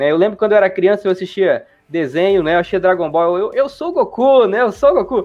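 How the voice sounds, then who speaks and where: A man with a high pitch talks at a fairly quick pace with lively intonation. He leaves hardly any pauses. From Brazil, interior of Mato Grosso (Juara). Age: 20s. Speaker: gaming YouTuber. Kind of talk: casual interview. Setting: live stream.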